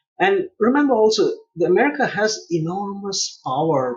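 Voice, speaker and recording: This man's intonation is lively, and his pace stays moderate. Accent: Indian. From India, Mumbai. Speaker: international relations policy expert. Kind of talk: interview.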